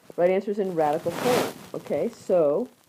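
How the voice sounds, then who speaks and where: Against noticeable background noise, a woman speaks with lively intonation. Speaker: math teacher. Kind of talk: tutorial. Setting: screencast recording. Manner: fast.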